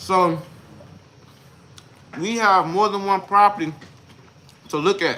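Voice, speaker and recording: A man with a high pitch projects a raised voice at a fairly slow pace, with fairly even intonation and long, frequent pauses. Noticeable background noise runs behind him. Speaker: real estate investor teaching deal analysis. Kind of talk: tutorial. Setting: livestream. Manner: slow, deliberate.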